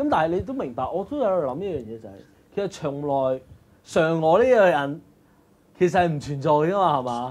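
This man's intonation moves in a lively way. He keeps a moderate pace. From Hong Kong. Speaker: live stream host. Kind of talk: casual chat; casual livestream chat commentary. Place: studio.

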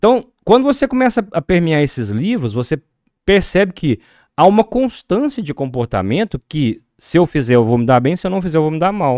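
At a moderate pace, a man speaks in a high pitch with very wide pitch swings, in a dry sound with no echo and a quiet background. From Brazil. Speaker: accountant and reading project organizer; podcast guest. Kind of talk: casual interview. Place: studio. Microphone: studio mic.

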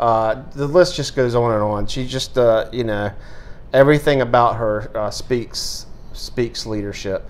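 An American-accented man speaks at a fairly slow pace. His pitch varies in an ordinary way. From US South. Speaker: sports writer. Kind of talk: sports awards show. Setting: office. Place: studio. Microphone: lapel.

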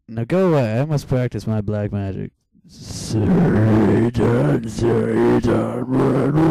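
A man puts on a raspy character voice at a medium pitch, speaking at a fairly slow pace with long, frequent pauses. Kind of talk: comic parody dub.

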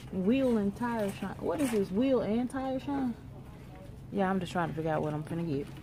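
A woman at a medium pitch, moderate pace and lively intonation, over noticeable background noise. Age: 30s. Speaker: vlogger and hairstylist; vlogger. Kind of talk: casual vlog talk to camera. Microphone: phone near.

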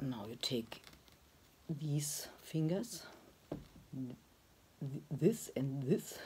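A woman's very deep, low voice, somewhat breathy, dark and mellow in tone, with lively intonation at a very slow pace over light background noise. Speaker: pottery teacher. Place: workshop. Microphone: phone near.

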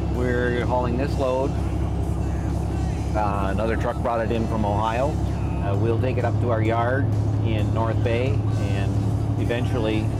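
Over music in the background, a man talks. His pace is fairly slow. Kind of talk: interview answer. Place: car.

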